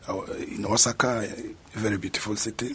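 Noticeable background noise is audible. The voice belongs to a man. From South Sudan. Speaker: master's student. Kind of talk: radio interview.

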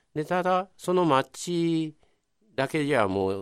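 This man's voice swings very widely in pitch, captured in a very clean recording with a silent background. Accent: Kobe. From Kobe, Nagata area. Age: 70s. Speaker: local historian. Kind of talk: radio interview.

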